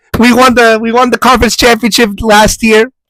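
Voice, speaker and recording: A high-pitched man with an American accent talks at a fairly quick pace, the sound dry and close with no echo. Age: 20s. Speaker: podcast co-host. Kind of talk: casual chat. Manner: animated.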